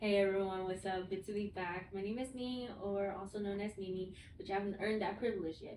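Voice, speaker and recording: A woman of medium pitch talks at a fairly quick pace with monotone, flat intonation. Audible room echo and noticeable background noise fill the recording. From US, Vietnamese immigrant family. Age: 20s. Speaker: mental health professional, podcast co-host. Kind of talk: casual chat. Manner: casual, filler-heavy.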